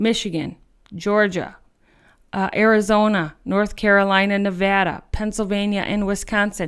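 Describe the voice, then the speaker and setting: On a very clean recording with a silent background, a woman with an American accent speaks at a medium pitch and a moderate pace. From US Midwest. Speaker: political podcast host. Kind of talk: political commentary podcast. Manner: animated.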